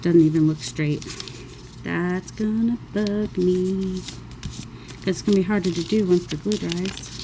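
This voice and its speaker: A woman at a fairly slow pace, with fairly even intonation, long and frequent pauses, and noticeable background noise. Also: medium pitch for a woman. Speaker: crafting YouTuber. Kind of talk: crafting tutorial. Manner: casual, rambling.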